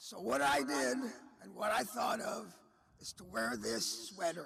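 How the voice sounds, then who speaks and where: His pitch moves in very wide swings as the man speaks. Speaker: cheerleader, hall of fame inductee. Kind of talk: memorial tribute speech. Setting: celebration of life event.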